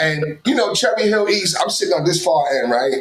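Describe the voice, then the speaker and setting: A man with an American accent speaks in an animated tone. His intonation is lively, and noticeable background noise is present. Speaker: sports talk show host. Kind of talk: casual chat. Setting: live broadcast.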